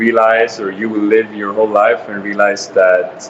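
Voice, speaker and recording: A man with a fairly low pitch delivers his words at a fairly slow pace, with noticeable background noise behind him. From Sweden. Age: 20s. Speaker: interviewee. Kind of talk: interview. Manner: hesitant fillers.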